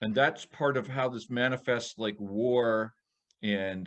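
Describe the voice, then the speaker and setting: A man talks at a medium pitch with ordinary pitch variation. It is a normal speaking voice. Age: 60s. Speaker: podcast co-host. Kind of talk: casual chat.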